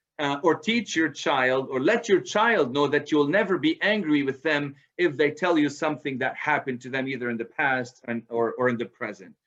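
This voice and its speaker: This man has a normal speaking voice, fairly high in pitch, with lively intonation at a moderate pace. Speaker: presenter on parenting, author. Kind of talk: lecture. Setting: video call.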